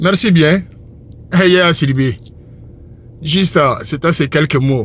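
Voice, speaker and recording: A man with a Malian accent at a very slow pace. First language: Bambara (speaking French). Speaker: religious commentator. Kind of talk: religious monologue. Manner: impassioned.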